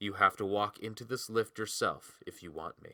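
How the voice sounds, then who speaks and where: A man does a put-on character voice at a fairly low pitch. The sound is dry and close with no echo, the intonation fairly even and the pace moderate. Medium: read story. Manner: low, blunt, intense.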